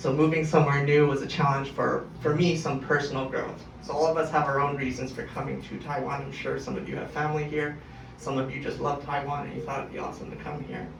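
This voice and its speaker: A man with a western Canadian accent rattles off words very fast with hardly any pauses, in a flat monotone at a fairly high pitch, with audible room echo and noticeable background noise. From Canada, Calgary. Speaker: language student. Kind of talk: speech to an audience. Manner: casual, with fillers.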